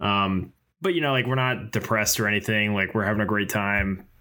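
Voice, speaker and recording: Man with an American accent and an unremarkable speaking voice, fairly low-pitched, at a fairly quick pace with fairly even intonation. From Pennsylvania, US (early childhood in Boston). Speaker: podcast co-host. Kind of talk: casual chat.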